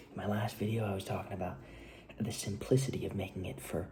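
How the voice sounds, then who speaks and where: A man whispers at a very fast pace, with audible room echo around him. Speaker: filmmaker vlogger. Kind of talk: casual vlog monologue. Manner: quiet; fast, halting.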